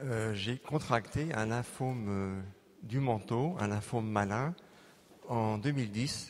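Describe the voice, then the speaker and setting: Very slow speech from a man, medium in pitch, with ordinary pitch variation. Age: 60s. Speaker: plastic surgeon giving healing testimony. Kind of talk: testimony. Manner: halting, many hesitations.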